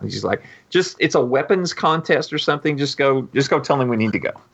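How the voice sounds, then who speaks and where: A plain, everyday voice from a man, fairly high-pitched and fairly quick, with lively intonation over a quiet background. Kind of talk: casual chat.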